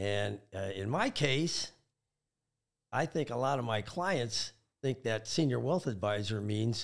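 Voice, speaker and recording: This very clean recording has a silent background. On it, a man speaks with a US Midwestern accent. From Michigan. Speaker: wealth advisor. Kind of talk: casual interview.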